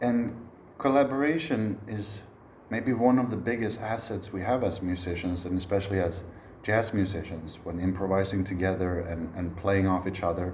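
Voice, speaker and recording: There is audible room echo as a man speaks at a fairly low pitch. He keeps a moderate pace and ordinary pitch variation. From Sweden. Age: 30s. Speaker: jazz trombonist and music educator. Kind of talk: recorded online masterclass.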